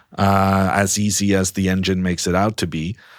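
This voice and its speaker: A man with a Norwegian accent speaks at a fairly low pitch. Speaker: chess commentator. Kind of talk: interview. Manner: slow; halting.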